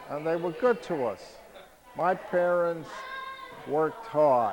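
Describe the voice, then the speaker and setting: Very slow speech in a New York accent, lively in intonation, with crowd noise behind it. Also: man. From New York City (Harlem, Bronx). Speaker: family elder interviewed. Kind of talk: family oral history interview.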